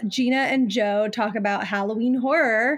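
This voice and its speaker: In an ordinary speaking voice, a woman talks at a fairly high pitch with ordinary pitch variation on a very clean recording with a silent background. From Ohio, near Cleveland. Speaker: podcast host. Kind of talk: casual interview chat.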